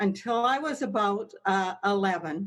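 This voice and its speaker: Fairly high in pitch, a woman speaks with a Canadian accent. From Canada, northern British Columbia. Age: 60s. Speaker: weight loss podcaster and public speaker. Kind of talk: podcast interview. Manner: energetic.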